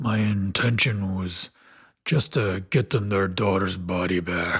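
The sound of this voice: The reading voice is unforced. Its intonation holds fairly even.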